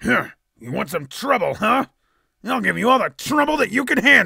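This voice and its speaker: A man's put-on character voice, raised and projected, at an extremely high pitch and moderate pace, in a very clean recording with a silent background. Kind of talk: character voice demo.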